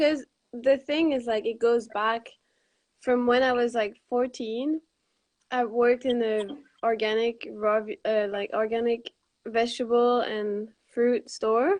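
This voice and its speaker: A woman speaks at a very slow pace in a high voice. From Quebec, Montreal. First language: French. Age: 20s. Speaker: raw vegan cookbook author. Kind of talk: casual interview.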